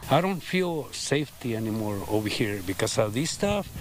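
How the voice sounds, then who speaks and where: A man talks over noticeable background noise. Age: 70s. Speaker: property owner. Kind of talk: news interview.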